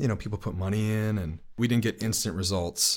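On a very clean recording with a silent background, a man with an American accent and an unremarkable speaking voice talks in a fairly low pitch with ordinary pitch variation. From New York City (Brooklyn). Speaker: musician, songwriter and lead singer. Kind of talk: interview.

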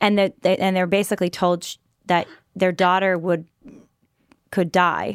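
A woman with a medium-pitched voice speaks at a moderate pace in a monotone, flat intonation, leaving long, frequent pauses, on a very clean recording with a silent background. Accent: Californian. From California. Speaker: podcast host. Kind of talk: interview.

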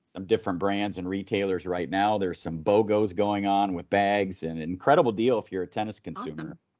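Speaking fairly quickly with hardly any pauses, a man uses a plain, everyday voice, fairly low in pitch with ordinary variation. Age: 50s. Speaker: tennis organization director, former player and coach. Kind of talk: interview podcast.

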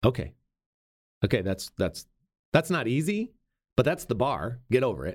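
A loud man of medium pitch speaks at a moderate pace with very wide pitch swings and vocal fry. He leaves long, frequent pauses. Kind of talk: interview.

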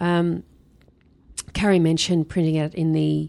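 A woman with an Australian accent and a very deep, low pitch. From Australia, Sydney. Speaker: Bible college dean. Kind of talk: casual interview.

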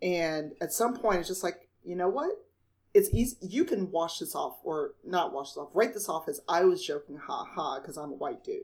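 At a moderate pace, a woman with a Midwestern US accent talks with big swings in loudness. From Chicago. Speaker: podcast host. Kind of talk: casual chat.

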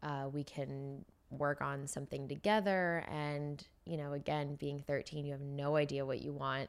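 A woman with a Californian accent speaks at a very deep, low pitch and a moderate pace, with fairly even intonation. The recording is very clean, with a silent background. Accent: Californian American. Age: 20s. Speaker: beauty brand founder. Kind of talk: casual interview. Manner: casual, filler-heavy.

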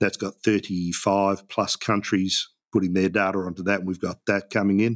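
Recorded very cleanly against a silent background, a man with an Australian accent speaks at a moderate pace in a fairly low pitch. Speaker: app founder, business owner. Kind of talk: interview. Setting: radio studio.

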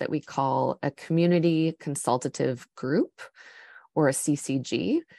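This woman has a very deep, low voice with a dark, mellow tone and a Canadian accent, and her pitch varies in an ordinary way. The sound is dry and close with no echo, over a quiet background. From Canada. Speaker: nonprofit program lead. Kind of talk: interview.

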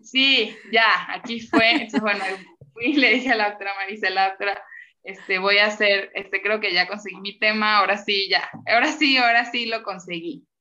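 This is a woman speaking. She has a medium-pitched voice and a Venezuelan accent. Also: ordinary pitch variation, moderate pace. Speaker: graduate student, linguist. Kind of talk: casual interview chat.

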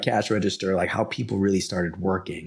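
A man's fairly low voice at a moderate pace, an unremarkable speaking voice. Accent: American. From New York, the Bronx. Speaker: pricing consultant and company founder. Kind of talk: interview.

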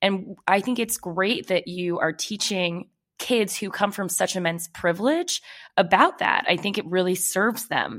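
A woman's normal speaking voice at medium pitch, fairly slow, with ordinary pitch variation and an American accent. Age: 30s. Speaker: podcast co-host. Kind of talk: casual chat.

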